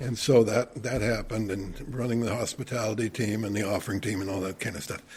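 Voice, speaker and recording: The man's voice is somewhat breathy. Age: 70s. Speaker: retired church volunteer and elder. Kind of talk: podcast interview. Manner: halting, with frequent repetitions.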